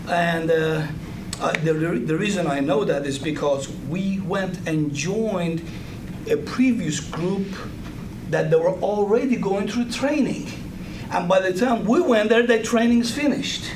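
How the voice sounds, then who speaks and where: A high-pitched man with a Persian accent at a fairly slow pace with lively intonation, amid noticeable background noise and audible room echo. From Iran. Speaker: guest speaker. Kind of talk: talk to an audience. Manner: halting, many fillers.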